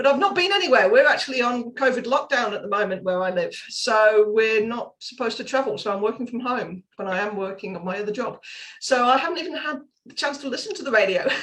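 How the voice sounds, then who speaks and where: A woman's high-pitched voice with a British accent, very fast and lively, with big swings in loudness. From UK. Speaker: parenting coach and author. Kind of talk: podcast interview.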